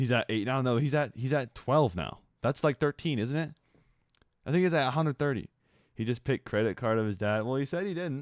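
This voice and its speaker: This man has a normal speaking voice at medium pitch with ordinary pitch variation. He talks at a fairly quick pace on a very clean recording with a silent background. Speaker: animation streamer. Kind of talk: casual live stream chat. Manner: casual, playful.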